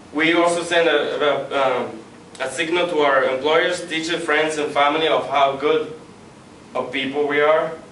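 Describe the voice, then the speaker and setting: Over noticeable background noise, a man with a non-native accent talks at a moderate pace in a fairly high pitch with monotone, flat intonation. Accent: non-native English speaker. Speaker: student. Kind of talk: persuasive class speech.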